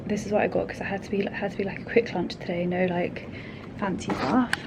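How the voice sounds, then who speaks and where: A woman talks in a London accent, with audible room echo and noticeable background noise. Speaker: vlogger. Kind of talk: casual vlog monologue. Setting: office. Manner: speaking quietly; fast, chatty.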